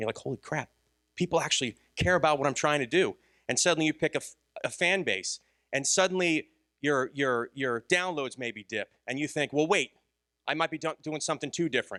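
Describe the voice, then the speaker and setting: A man with a fairly high pitch and a bright, sharp tone speaks at a fairly quick pace with ordinary pitch variation. The sound is dry and close with no echo, in a very clean recording over a silent background. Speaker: conference speaker and podcaster. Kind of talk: conference talk. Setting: stage with audience. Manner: fast.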